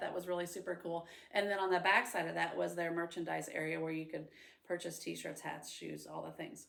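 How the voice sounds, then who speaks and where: A woman with a Midwestern American accent speaks with vocal fry. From central Illinois, US Midwest. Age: 40s. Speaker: preschool teacher. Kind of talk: personal introduction monologue. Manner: casual, with frequent 'um' fillers.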